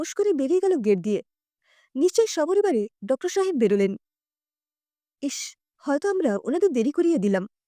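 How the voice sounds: A woman's dark, mellow voice at a fairly quick pace, with big pitch swings and a dry, close sound with no echo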